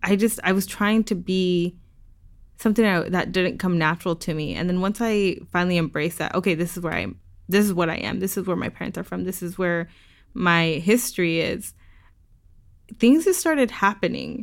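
With an American accent, a woman talks at a fairly quick pace in an ordinary speaking voice of medium pitch with ordinary pitch variation. The recording is very clean with a silent background. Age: 20s. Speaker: youth outdoor nonprofit founder. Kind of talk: interview. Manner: casual, laughs often.

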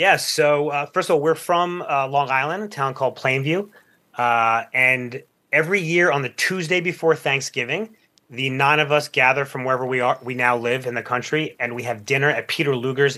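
A man with a plain, everyday voice talks at a fairly quick pace and a fairly high pitch. His pitch varies ordinarily, and the recording is very clean with a silent background. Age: 40s. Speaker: podcaster on male friendship. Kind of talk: radio interview.

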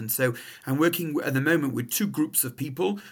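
A man speaks with an English accent. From England. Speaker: rabbi. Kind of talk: interview.

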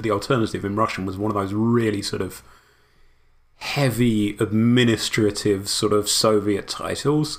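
Speaking with a British accent, a man keeps a fairly even intonation. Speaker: historian and translator. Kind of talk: casual chat.

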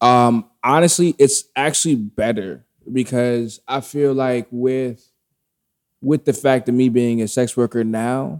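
A man talks at a fairly slow pace with a medium pitch. The sound is dry and close, with no echo. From South Carolina. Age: 30s. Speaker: barber. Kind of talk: casual chat. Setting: barbershop.

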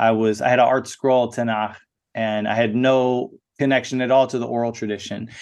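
Heard over a quiet background, a man with an ordinary speaking voice talks at a moderate pace and medium pitch, his intonation fairly even. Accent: American. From USA. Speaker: spoken word artist. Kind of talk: interview.

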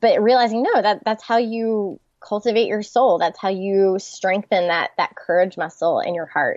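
A woman with an American accent speaks in a plain, everyday voice at a moderate pace, her fairly high pitch showing ordinary variation and hardly any pauses. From US South, Charlotte, North Carolina. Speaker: author and pastor's wife. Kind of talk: interview.

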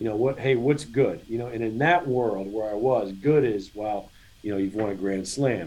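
In an ordinary speaking voice, a man talks at a medium pitch and a fairly quick pace with ordinary pitch variation. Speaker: college tennis coach. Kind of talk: interview.

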